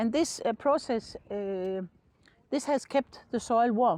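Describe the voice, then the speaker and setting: A woman speaks at a fairly slow pace with lively intonation and a dark, mellow tone. The sound is dry and close with no echo, on a very clean recording with a silent background. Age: 70s. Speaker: retired teacher and garden farmer. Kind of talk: guided garden tour interview.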